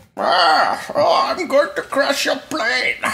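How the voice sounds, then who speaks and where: Pitched extremely high, a man performs a put-on character voice. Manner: menacing, theatrical.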